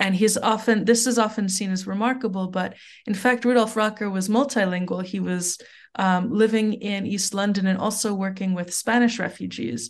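A woman's plain, everyday voice at medium pitch with ordinary pitch variation, in a quiet background. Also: moderate pace. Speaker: literature professor. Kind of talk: podcast interview.

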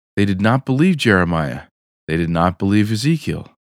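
A man with very wide pitch swings, recorded very cleanly against a silent background, the sound dry and close with no echo. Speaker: podcast host and reader. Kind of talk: audiobook-style reading aloud of a chapter, after casual interview chat. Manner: measured, formal, steady narration pace.

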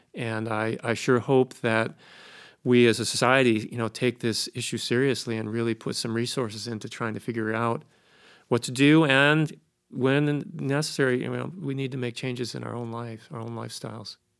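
A man with an American accent and an unremarkable speaking voice talks at a medium pitch with fairly even intonation and big swings in loudness, in a very clean recording with a silent background. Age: 60s. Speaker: ski mountaineering historian and author. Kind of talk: interview. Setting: studio.

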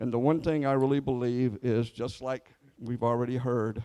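His dark, mellow tone holds a medium pitch while he speaks in a monotone, flat way at a moderate pace. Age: 70s. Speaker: preacher. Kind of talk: sermon. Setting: church.

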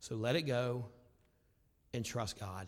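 A man's voice with vocal fry, in a very clean recording with a silent background. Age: 40s. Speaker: pastor. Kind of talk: sermon. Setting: church. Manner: loud, animated.

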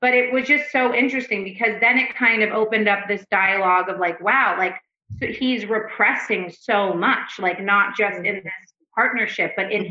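Her voice is an unremarkable speaking voice, pitched in the middle of the female range. She keeps a medium tempo, and her pitch moves in a normal way. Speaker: couples therapist. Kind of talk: casual podcast interview. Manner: frequent filler words, loose rambling delivery.

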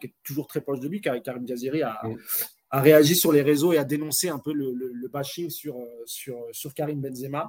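A man with a fairly high pitch talks at a moderate pace, keeping his intonation fairly even. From France, Moroccan heritage. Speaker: football podcast host. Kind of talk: casual chat. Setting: live stream.

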